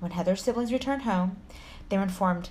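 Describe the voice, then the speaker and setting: This woman talks with a Texan accent. Her voice sits at a medium pitch. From Texas. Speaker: podcast co-host, storyteller narrating true crime. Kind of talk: casual, profane. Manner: fast talker.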